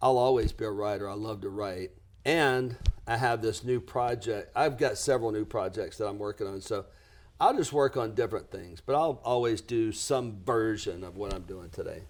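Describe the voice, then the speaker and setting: In a very clean recording with a silent background, a man with a Southern US accent talks at a moderate pace, his medium pitch showing ordinary variation. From US South, lower Alabama. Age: 60s. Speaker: business coach. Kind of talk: podcast interview.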